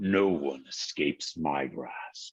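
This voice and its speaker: A man speaks in a put-on character voice. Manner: menacing.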